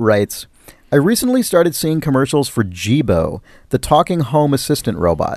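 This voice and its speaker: The background is quiet as a man talks at a moderate pace. He has an American accent and an animated tone. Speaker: podcast host. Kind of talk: casual banter podcast. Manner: joking, animated.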